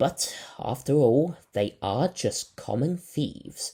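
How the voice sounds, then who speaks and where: Putting on a character voice, a man speaks fairly slowly at a fairly high pitch with lively intonation. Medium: read story. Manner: measured, polite.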